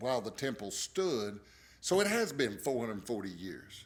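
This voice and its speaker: A man's medium-pitched voice at a moderate pace, with lively intonation. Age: 60s. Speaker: pastor. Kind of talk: bible study teaching. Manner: casual, conversational.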